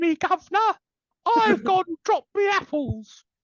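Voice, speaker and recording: A put-on character voice with a Cockney accent is pitched extremely high. It moves at a moderate pace. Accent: British, cockney-style. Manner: comedic, exaggerated.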